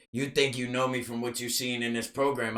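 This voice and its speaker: A man speaks loudly at a very fast pace. His medium-pitched voice has a bright, sharp tone. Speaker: podcast guest, recovering addict. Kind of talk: casual chat. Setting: studio. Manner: animated.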